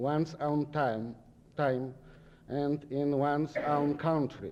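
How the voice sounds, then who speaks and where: Very slowly, a man speaks with a fairly high pitch and a dark, mellow tone. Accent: Polish. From Poland. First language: Polish. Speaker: visiting sociology professor. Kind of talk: lecture. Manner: halting.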